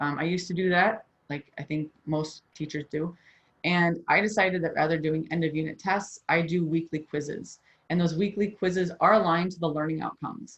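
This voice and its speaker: Speaking at a fairly quick pace, a woman uses a fairly low pitch and fairly even intonation. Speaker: high school chemistry teacher. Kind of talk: workshop presentation. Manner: fast.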